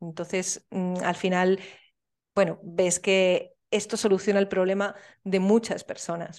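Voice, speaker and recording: Against a quiet background, a woman speaks very slowly at a medium pitch with monotone, flat intonation. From Spain, Soria. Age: 30s. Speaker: entrepreneur. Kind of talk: interview.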